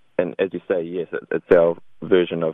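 A man with a New Zealand accent speaks in a very deep, low pitch. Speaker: video game developer. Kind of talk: radio interview.

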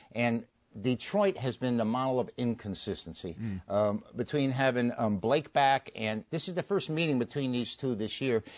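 With hardly any pauses, a man in a normal speaking voice talks at a moderate pace and medium pitch, his intonation lively. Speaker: sports handicapper. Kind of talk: sports radio talk. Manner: jokey.

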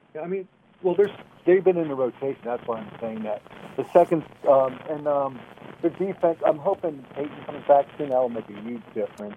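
Against noticeable background noise, a man with a fairly high pitch talks fairly quickly, his intonation lively and his loudness swinging widely. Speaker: caller. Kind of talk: casual chat. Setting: phone call.

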